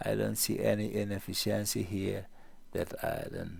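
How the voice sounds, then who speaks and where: A man talks with a non-native accent. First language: not English. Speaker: trading educator. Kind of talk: market analysis tutorial. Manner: halting.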